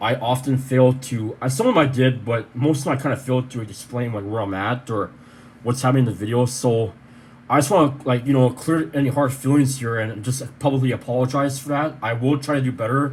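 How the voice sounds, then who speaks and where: At a fairly quick pace, a man speaks somewhat breathily at a medium pitch with fairly even intonation. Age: 30s. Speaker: vlogger. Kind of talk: personal video update. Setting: bedroom. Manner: fast.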